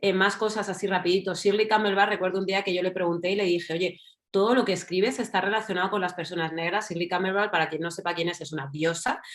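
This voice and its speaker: Here a woman talks at a very fast pace with hardly any pauses. Her pitch is medium, and she speaks with a Madrid accent. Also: fairly even intonation. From Spain, Madrid. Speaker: writer and journalist. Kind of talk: panel discussion. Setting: online event.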